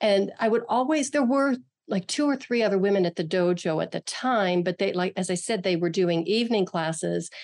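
Against a quiet background, a woman talks in a normal speaking voice at a medium pitch and a fairly quick pace, her intonation lively and her loudness very even. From western Pennsylvania, near Pittsburgh. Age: 60s. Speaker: martial artist and author. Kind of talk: interview conversation.

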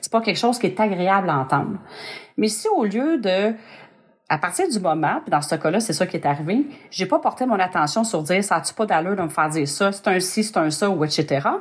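Speaking at a fairly quick pace in a Quebec accent, a woman uses lively intonation at a medium pitch. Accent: Québécois French. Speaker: podcast host. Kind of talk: casual chat.

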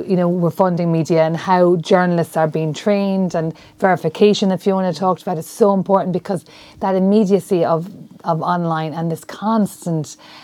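With an Irish accent, a woman of medium pitch speaks at a fairly quick pace and with fairly even intonation. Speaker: journalism lecturer. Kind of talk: panel discussion. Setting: university room.

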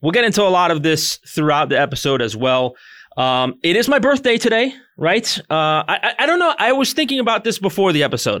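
With a bright, sharp tone and a high pitch, a man talks at a fairly quick pace in an animated way, his pitch swinging very widely while his loudness stays very even. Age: 30s. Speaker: podcast co-host. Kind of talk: casual chat.

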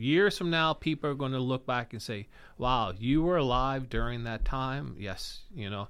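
Speaking in a plain, everyday voice, a man with an American accent keeps a medium pitch. His intonation is lively and his pace moderate. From West Virginia. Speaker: country musician. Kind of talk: casual chat.

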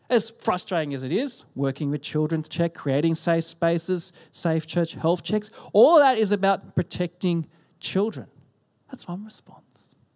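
A high-pitched man with an Australian accent sounds animated, using lively intonation and big swings in loudness. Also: moderate pace. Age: 30s. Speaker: pastor. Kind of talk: sermon.

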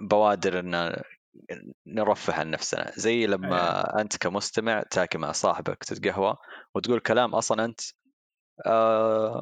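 Here is a man with an unremarkable speaking voice and fairly low pitch, talking at a fairly slow pace. The sound is dry and close with no echo over a quiet background. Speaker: marketing professional and hobby musician. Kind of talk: casual chat.

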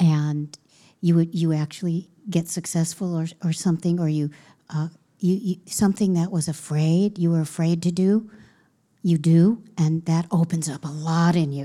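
The woman's voice is fairly low, with a dark, mellow tone and fairly even intonation. She speaks at a moderate pace in a very clean recording with a silent background. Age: 60s. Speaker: yoga teacher. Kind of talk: casual chat.

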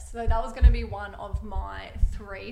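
Woman at a moderate pace amid noticeable background noise. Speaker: partner of host, guest. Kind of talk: casual chat.

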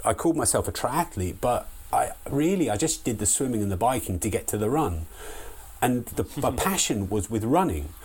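A somewhat breathy man with a southern English accent speaks at a moderate pace, his pitch swinging very widely. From southeast England (Sussex village). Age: 50s. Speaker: long distance runner. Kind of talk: casual interview chat. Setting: remote call.

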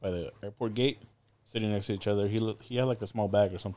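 Speaking very fast, a man keeps his pitch fairly low. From Southern California, Inland Empire. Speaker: former maritime academy student and traveler. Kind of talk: casual chat. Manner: animated.

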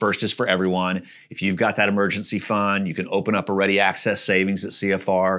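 The tone is bright and sharp, set against a quiet background. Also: man. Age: 50s. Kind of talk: casual interview.

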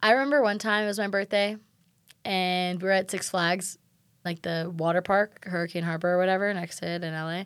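A woman speaks in a normal speaking voice at medium pitch. Her pace is fairly quick and her intonation fairly even. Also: very clean recording, silent background. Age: 20s. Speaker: podcast co-host. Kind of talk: casual chat.

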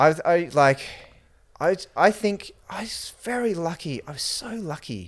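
Speaking with an Australian accent, a man uses a high pitch and lively intonation. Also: fairly slow pace. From Queensland, Australia (New Zealand-born). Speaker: emergency physician and entrepreneur. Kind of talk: casual chat.

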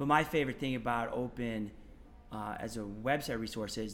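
With an American accent, the speaker talks with ordinary pitch variation, and some room echo can be heard. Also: man. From Maine, US. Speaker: elementary physical education teacher. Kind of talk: casual interview. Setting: at a conference.

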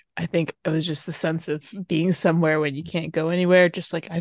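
Speaking at a fairly quick pace, a woman uses a fairly low pitch and a monotone, flat intonation. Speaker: podcast co-host. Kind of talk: casual chat.

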